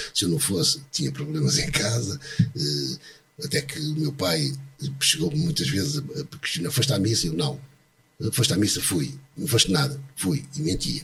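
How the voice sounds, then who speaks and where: This man's intonation is lively. Noticeable background noise sits behind him. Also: fairly high pitch for a man, moderate pace. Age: 60s. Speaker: retired bank employee. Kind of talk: testimony. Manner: halting.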